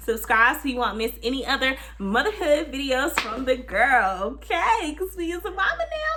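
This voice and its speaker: At a moderate pace and with hardly any pauses, a woman speaks over noticeable background noise. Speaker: vlogger, new mother. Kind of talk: casual vlog talk to camera.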